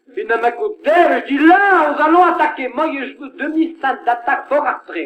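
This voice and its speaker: A man speaks with a Picard accent at an extremely high pitch. His intonation is lively and his pace fairly slow. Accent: Picard (Ch'ti) dialect. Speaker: comedian. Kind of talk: comic monologue record.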